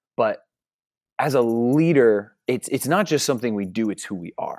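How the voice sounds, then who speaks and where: With an American accent and a medium pitch, a man speaks at a fairly slow pace, with ordinary pitch variation and long, frequent pauses. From New Jersey. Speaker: youth ministry leader. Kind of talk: casual interview.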